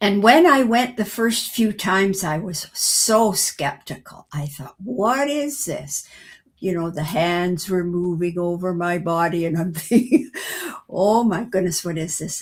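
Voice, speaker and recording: A woman speaks at a medium pitch and a fairly slow pace. Her voice is somewhat breathy, with lively intonation. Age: 80s+. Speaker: retired educator and author. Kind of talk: podcast interview answer.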